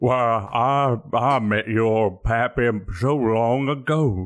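A man's put-on character voice at a medium pitch, very slow in pace, with ordinary pitch variation and a quiet background.

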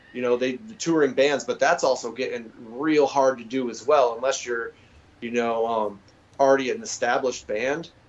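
Delivered at a moderate pace with ordinary pitch variation, this is an ordinary speaking voice with an American accent. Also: man, medium pitch for a man. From Massachusetts. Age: 40s. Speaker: punk musician and label owner. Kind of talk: casual chat.

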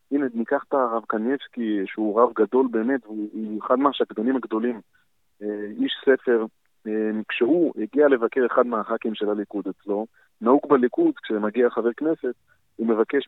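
Here a man has an unremarkable speaking voice at a medium pitch, speaking at a moderate pace with fairly even intonation. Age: 30s. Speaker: city council member and politician. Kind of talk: interview. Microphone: poor audio at times, earpiece.

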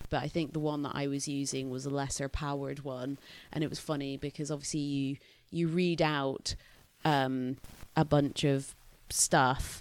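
A woman with a slight Scottish accent speaks at a very deep, low pitch and a moderate pace. Her intonation is monotone and flat, on a very clean recording with a silent background. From Scotland. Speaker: podcast co-host. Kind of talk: casual chat podcast.

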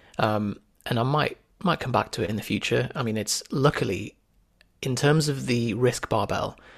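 A man speaks with a British accent at a medium pitch. The recording is very clean, with a silent background. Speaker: former doctor and fitness entrepreneur. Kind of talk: casual interview chat.

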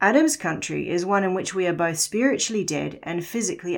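Against a quiet background, a woman with a New Zealand accent speaks at a fairly low pitch with ordinary pitch variation. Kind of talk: scripted narration.

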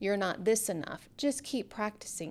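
On a very clean recording with a silent background, a woman of medium pitch talks at a moderate pace in a plain, everyday voice. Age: 40s. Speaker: yoga studio owner. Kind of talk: radio interview. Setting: studio.

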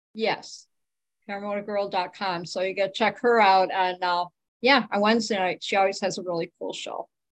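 Against a quiet background, a woman talks at a moderate pace in a plain, everyday voice with a medium pitch and fairly even intonation. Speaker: paramotor enthusiast panelist. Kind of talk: casual chat.

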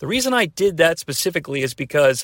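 A man with an American accent speaks in an ordinary speaking voice at a fairly high pitch, his intonation lively, on a very clean recording with a silent background and a dry, close sound with no echo. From US Midwest, about an hour from Cincinnati. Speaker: podcast host. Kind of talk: solo podcast commentary. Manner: casual, with fillers.

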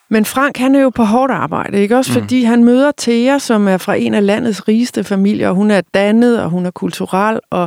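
Using a normal speaking voice, a woman talks at a fairly slow pace with medium pitch and lively intonation, the sound dry and close with no echo. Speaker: podcast host interviewing authors. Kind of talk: interview.

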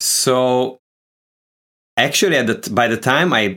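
A man with a Hungarian accent speaks with ordinary pitch variation. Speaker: guitarist. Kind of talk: casual chat. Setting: video call. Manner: halting.

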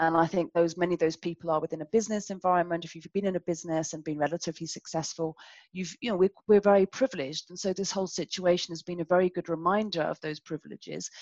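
Very fast and with hardly any pauses, a woman talks with fairly even intonation and big swings in loudness, the sound dry and close with no echo against a quiet background. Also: fairly low pitch for a woman. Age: 50s. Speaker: business consultant. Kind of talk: interview.

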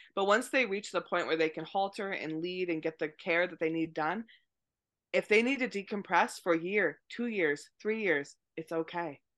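A woman with an unremarkable speaking voice and an American accent talks at a moderate pace and fairly low pitch, with ordinary pitch variation and a quiet background. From US, Maine. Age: 30s. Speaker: horse rehabilitation trainer. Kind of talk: interview.

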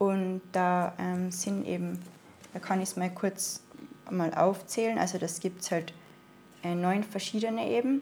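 A woman with an Austrian accent speaks at a fairly slow pace with long, frequent pauses. Her medium-pitched voice has a dark, mellow tone and fairly even intonation. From Austria, Tyrol (Innsbruck). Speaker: spiritual healing practitioner. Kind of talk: casual interview. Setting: in person, living room.

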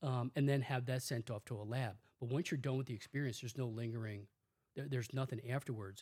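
On a very clean recording with a silent background, a man speaks very fast at a medium pitch. His voice is somewhat breathy, with fairly even intonation. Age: 60s. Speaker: psychologist. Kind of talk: interview.

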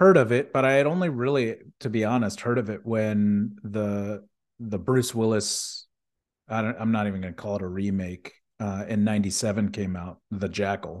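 A man with a plain, everyday voice at medium pitch, ordinary pitch variation and a moderate pace, against a quiet background. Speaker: film podcast co-host. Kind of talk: casual chat.

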